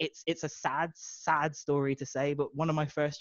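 Against a quiet background, a man's voice comes across dry with no echo. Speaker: guest. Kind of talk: interview answer. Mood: warm, enthusiastic, laughing. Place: home room.

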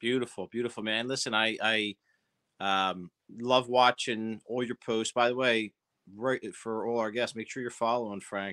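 Delivered at a moderate pace in a Philadelphia accent, the voice has a bright, sharp tone and monotone, flat intonation over a quiet background. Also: man, medium pitch for a man. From South Philadelphia. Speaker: interview show host. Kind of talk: interview. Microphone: video call.

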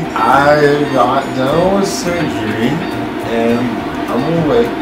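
A man speaks with music playing in the background. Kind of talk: casual vlog chat. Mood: upbeat, playful.

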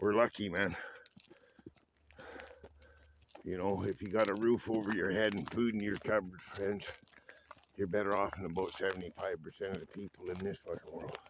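A man talks at a moderate pace and a fairly low pitch, in a monotone, flat intonation with long, frequent pauses. The sound is dry with no echo, and noticeable background noise is present. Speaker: vlogger. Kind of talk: casual vlog chat. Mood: relaxed, reflective, opinionated. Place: open country. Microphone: phone near.

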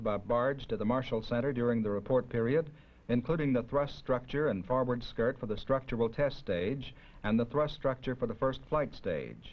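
At a moderate pace, a man with a normal speaking voice and medium pitch talks with ordinary pitch variation. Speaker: documentary narrator. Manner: formal; measured, even-paced and matter-of-fact.

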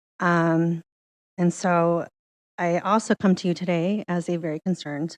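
A woman's voice is shaky and fairly low in pitch. The sound is dry and close, with no echo. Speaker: public commenter, community organizer. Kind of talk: public comment at council meeting. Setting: council meeting.

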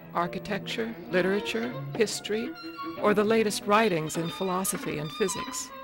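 Over music in the background, a woman talks at a moderate pace with a medium pitch and very wide pitch swings. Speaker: interviewer. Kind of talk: documentary narration.

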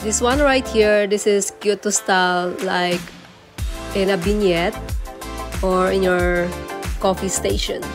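A woman speaks very slowly with long, frequent pauses as clear music plays in the background. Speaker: home decor vlogger. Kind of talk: casual vlog chat. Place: shop. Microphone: phone near.

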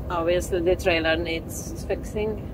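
Loud background noise behind a fairly slow pace of speech. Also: woman. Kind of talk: casual vlog chat. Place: car.

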